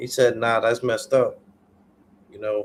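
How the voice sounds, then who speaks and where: A man speaks at a medium pitch. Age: 30s. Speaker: livestreamer. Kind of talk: casual chat.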